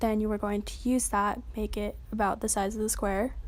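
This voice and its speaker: Monotone, flat intonation at a fairly quick pace. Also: woman. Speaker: tutorial youtuber. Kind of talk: tutorial. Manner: fast; casual.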